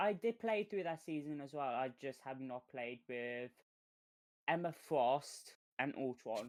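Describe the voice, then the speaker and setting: A woman's very deep, low voice in a British accent, fairly slow, with lively intonation. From Britain. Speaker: gamer on stream call. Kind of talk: casual chat.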